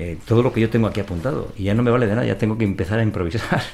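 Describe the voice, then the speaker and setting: Very fast male speech at a medium pitch with ordinary pitch variation. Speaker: podcast host. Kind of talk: casual chat.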